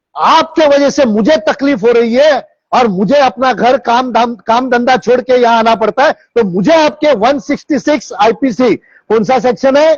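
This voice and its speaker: Loudness stays very even, with hardly any pauses and ordinary pitch variation. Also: man, extremely high pitch for a man. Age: 60s. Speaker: social activist. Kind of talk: public awareness talk. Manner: animated.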